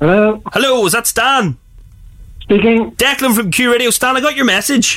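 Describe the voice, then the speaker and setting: A Belfast accent at a moderate pace. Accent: Belfast Northern Irish. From Northern Ireland, West Belfast. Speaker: radio host. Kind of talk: casual chat. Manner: animated.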